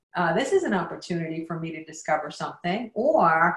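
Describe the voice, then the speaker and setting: The speaker is a woman with a fairly low pitch. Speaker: workshop teacher. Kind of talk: workshop talk. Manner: loud, projecting.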